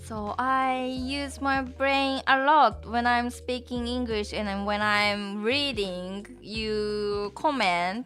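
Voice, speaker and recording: A woman with a Japanese accent speaks at a very slow pace with hardly any pauses, in a fairly high, bright, sharp tone with ordinary pitch variation, on a very clean recording with a silent background. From Japan (Tokyo). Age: 30s. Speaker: Japanese language teacher. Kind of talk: live stream chat. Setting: live stream. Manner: halting.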